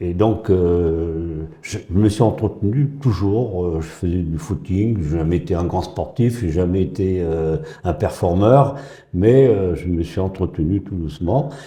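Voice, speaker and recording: Speaking at a very slow pace, a man has a very deep, low pitch and a somewhat breathy voice. His pitch varies in an ordinary way, and audible room echo can be heard. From northern France (Pas-de-Calais). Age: 80s+. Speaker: retired school headteacher. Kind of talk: casual interview. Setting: gym. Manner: halting, many hesitations.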